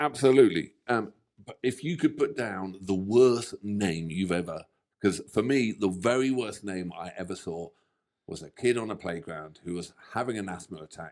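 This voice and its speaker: A man with a British accent speaks at a moderate pace in a fairly low pitch. His tone is animated and his intonation lively. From England. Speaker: reaction video co-host. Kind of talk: casual chat.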